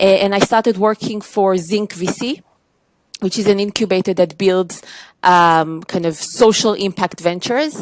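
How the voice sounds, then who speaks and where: A woman speaks with an Israeli accent. Her pitch is medium. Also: ordinary pitch variation, moderate pace. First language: Hebrew. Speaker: tech trade executive. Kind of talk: podcast interview.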